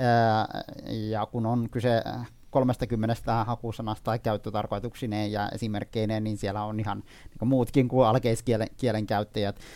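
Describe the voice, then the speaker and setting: With a dark, mellow tone, the speech moves at a fairly slow pace in a monotone, flat intonation. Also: man, medium pitch for a man. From Iraqi Kurdistan. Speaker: dictionary editor. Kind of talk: interview. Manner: halting, many fillers and repetitions.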